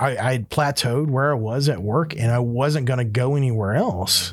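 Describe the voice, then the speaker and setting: A somewhat breathy man at medium pitch speaks with ordinary pitch variation on a very clean recording with a silent background. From US South, Florida Panhandle (Panama City). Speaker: podcast host, business owner. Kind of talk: casual chat.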